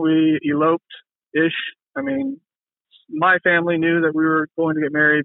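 A man is speaking. His pace is fairly slow. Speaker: podcast guest sharing relationship experiences. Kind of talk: personal testimony in casual interview. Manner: halting, many fillers.

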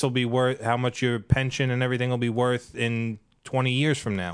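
A man of medium pitch talks at a moderate pace in an ordinary speaking voice. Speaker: financial seminar attendee and union member. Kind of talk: casual chat. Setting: studio. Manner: joking, sarcastic.

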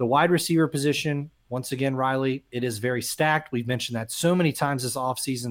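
On a very clean recording with a silent background, a man uses an ordinary speaking voice at medium pitch with fairly even intonation. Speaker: sports podcast co-host. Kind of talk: casual sports talk.

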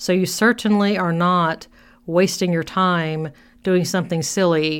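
A woman speaks at a moderate pace with a fairly low pitch. The recording is very clean, with a silent background. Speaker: podcast host and therapist. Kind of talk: solo podcast monologue. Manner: loud when excited; laughs often.

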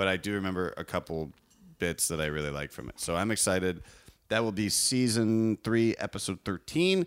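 A plain, everyday voice from a man, fairly low-pitched, at a moderate pace, with lively intonation. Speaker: podcast host. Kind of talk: casual chat.

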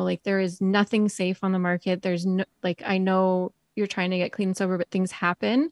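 A woman speaks at a medium pitch in a Canadian accent, her intonation fairly even. The sound is dry and close, with no echo. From British Columbia, Canada. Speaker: entrepreneur and writer in recovery. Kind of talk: casual interview, personal story.

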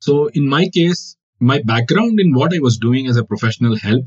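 Speech in a Kannada accent moves at a moderate pace with lively intonation. The voice is somewhat breathy. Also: man. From India, Karnataka. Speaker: wildlife photographer. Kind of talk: interview.

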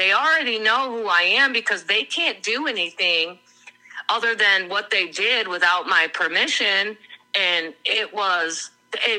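A woman's ordinary speaking voice at medium pitch, fairly slow in pace, with lively intonation. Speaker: crime victim's relative. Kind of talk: interview.

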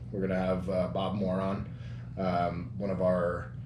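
Noticeable background noise fills the recording. Through it, a man talks at a fairly low pitch. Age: 30s. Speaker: podcast host, bodybuilder. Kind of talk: casual chat. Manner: casual, profane, energetic.

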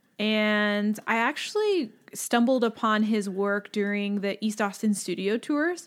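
An ordinary speaking voice from a woman, fairly high in pitch with ordinary pitch variation, at a fairly slow pace and very even loudness on a very clean recording with a silent background. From Lockhart, Texas. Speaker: podcast guest. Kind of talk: casual chat.

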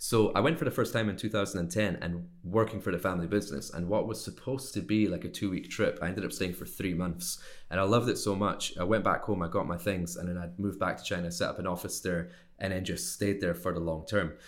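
A man with a Scottish accent at a very deep, low pitch, racing at a very fast pace with hardly any pauses and ordinary pitch variation. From Scotland. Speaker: sourcing and manufacturing consultant. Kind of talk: interview. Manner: casual, conversational.

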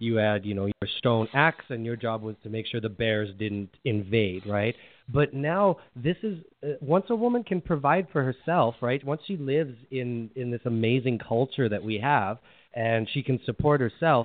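A man with a Canadian accent speaks in an unremarkable speaking voice at a medium pitch, his intonation lively. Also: moderate pace. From Canada. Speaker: relationship coach. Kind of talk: interview. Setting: phone call.

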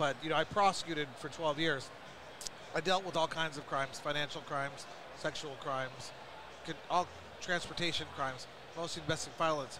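A man with a fairly high pitch, long and frequent pauses, and noticeable background noise. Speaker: podcast host, cannabis trade association. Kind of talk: casual interview. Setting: trade show booth.

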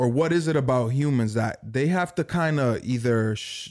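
An ordinary speaking voice from a man, medium pitch and ordinary pitch variation, on a very clean recording with a silent background. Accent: American. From Dominican heritage, US. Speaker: podcast co-host. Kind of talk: casual chat.

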